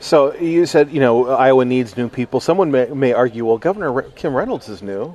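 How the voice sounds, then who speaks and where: A man with a plain, everyday voice talks at a fairly quick pace with lively intonation. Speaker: radio host. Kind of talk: radio interview. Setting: conference, recorded live.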